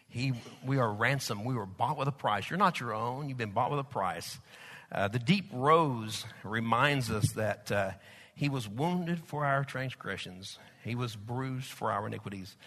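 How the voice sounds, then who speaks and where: In a Southern Plains US accent, a man speaks at a medium pitch and a moderate pace, with a bright, sharp tone and ordinary pitch variation. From Oklahoma/Texas. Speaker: pastor. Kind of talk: sermon. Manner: filler-heavy, conversational.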